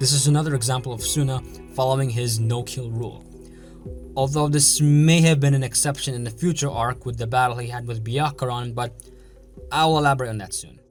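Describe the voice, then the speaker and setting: Fairly quick speech from a man at medium pitch, fairly even in intonation, with music in the background. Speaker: anime analysis youtuber. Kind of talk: video essay narration.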